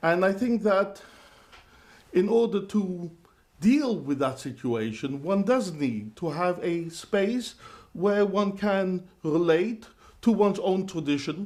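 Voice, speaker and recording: The man's voice sits at a high pitch with lively intonation. He talks at a very slow pace. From London. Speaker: rabbi. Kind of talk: interview. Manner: hesitant, with fillers.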